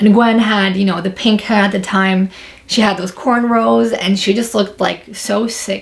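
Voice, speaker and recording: Somewhat breathy, a woman of medium pitch speaks at a moderate pace with ordinary pitch variation. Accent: New York. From New York, Long Island. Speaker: YouTuber. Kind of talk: casual vlog storytelling.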